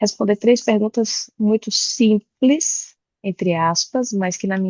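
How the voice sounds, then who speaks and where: With a Bahian accent, a woman talks at a moderate pace. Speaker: tax executive and board member. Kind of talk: online presentation.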